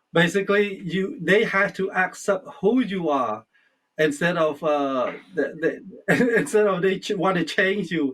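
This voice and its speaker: The speaker has a Cambodian accent. The pace is fairly slow. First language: Khmer. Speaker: interviewer. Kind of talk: interview. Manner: halting.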